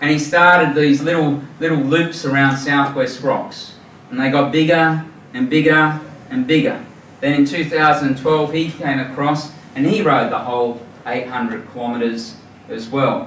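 Light background noise and audible room echo surround a man with an Australian accent. His fairly high voice moves at a fairly slow pace with ordinary pitch variation. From New South Wales, Australia. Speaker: charity founder, former forensic police officer. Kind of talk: presentation to a club audience. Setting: live audience at a club dinner. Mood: earnest, moved. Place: hall.

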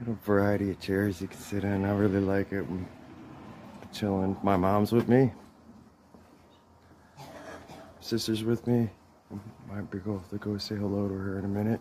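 Flat, monotone speech from a man with a fairly low pitch and a dark, mellow tone, at a moderate pace with long, frequent pauses over light background noise. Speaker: travel vlogger. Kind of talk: casual vlog chat. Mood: cheerful, relaxed. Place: street. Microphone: phone near.

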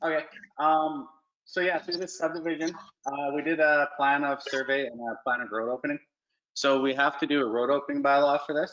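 Quiet surroundings and a man's voice at a moderate pace. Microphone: video call.

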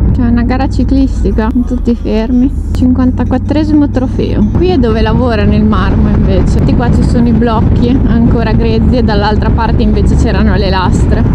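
Over loud background noise, a woman talks at a moderate pace with hardly any pauses. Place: motorbike. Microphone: helmet.

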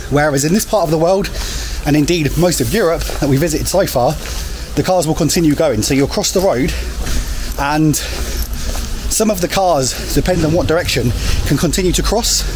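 A man speaks at a moderate pace with very even loudness. Music plays in the background. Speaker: travel vlogger. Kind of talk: casual vlog chat. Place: street. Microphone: phone near.

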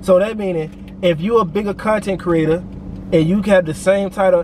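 A man with a high voice talks at a fairly quick pace, the sound dry with no echo and light noise in the background. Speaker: vlogger. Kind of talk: casual vlog chat. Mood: annoyed, venting. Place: car. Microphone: phone near.

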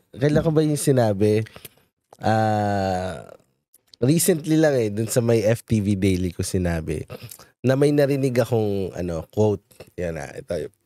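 Dark and mellow in tone, the voice moves at a fairly slow pace with lively intonation and big swings in loudness, in a dry sound with no echo and a quiet background. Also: man, fairly low pitch for a man. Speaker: show host and media producer; show host. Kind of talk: casual chat. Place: studio. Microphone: studio mic.

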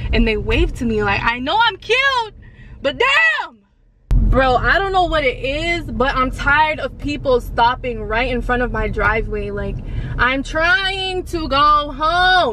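A woman uses a raised, projected voice with very wide pitch swings at a fairly slow pace. The sound is dry with no echo, though there is noticeable background noise. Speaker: vlogger. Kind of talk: casual vlog chat. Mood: playful, ranting. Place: car. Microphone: phone near.

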